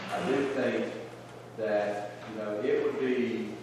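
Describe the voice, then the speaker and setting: The clip has noticeable background noise and strong room echo. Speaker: county commissioner. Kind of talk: public meeting discussion. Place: hall. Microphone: camera far.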